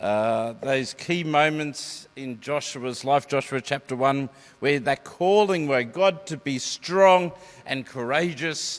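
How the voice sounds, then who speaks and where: In an Australian accent, a man talks at a very slow pace with a fairly high pitch and ordinary pitch variation. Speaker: preacher giving a sermon. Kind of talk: church sermon to a congregation. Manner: conversational, explanatory, with hesitations.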